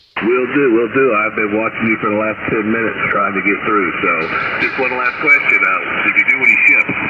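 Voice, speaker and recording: Noticeable background noise sits under the recording. Over it, a man speaks at a fairly quick pace. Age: 60s. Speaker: ham radio operator, navy retiree. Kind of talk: ham radio contact chat. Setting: radio transmission.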